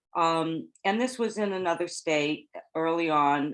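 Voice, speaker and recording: With an American accent, a woman talks at a very slow pace in a very deep, low pitch and fairly even intonation. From California. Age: 70s. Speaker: former typesetter and caregiver. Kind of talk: oral history interview.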